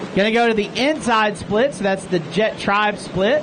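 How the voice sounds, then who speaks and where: Against noticeable background noise, the speaker talks at a fairly slow pace with a Texas accent. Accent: Texas twang. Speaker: race announcer. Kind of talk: live commentary. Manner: animated.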